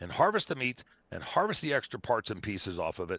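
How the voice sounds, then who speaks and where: A man's bright, sharp tone with vocal fry, a very fast pace, a quiet background and a dry, close sound with no echo. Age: 60s. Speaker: wildlife control specialist and hunting advocate. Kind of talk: podcast interview. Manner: animated.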